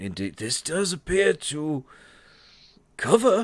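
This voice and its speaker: A raspy, put-on character voice from a man, with very wide pitch swings, on a very clean recording with a silent background. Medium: actual play. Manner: hesitant, formal, polite.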